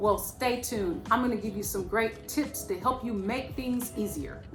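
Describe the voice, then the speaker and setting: Music plays in the background as a woman speaks at a moderate pace. Her fairly high voice stays fairly even in intonation. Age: 50s. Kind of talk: casual talk to camera.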